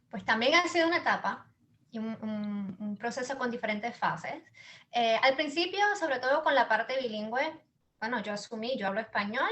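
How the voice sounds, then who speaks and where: Fairly high in pitch, a woman speaks at a fairly quick pace. Her intonation is lively. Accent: Puerto Rican. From Puerto Rico. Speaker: business founder and mother. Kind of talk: interview. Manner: halting, many repetitions.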